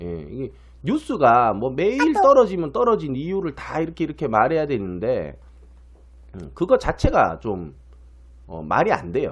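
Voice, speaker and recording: Here a man talks at a moderate pace, with long, frequent pauses. His loudness swings widely. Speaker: stock market commentator. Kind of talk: market commentary. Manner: many filler sounds; animated.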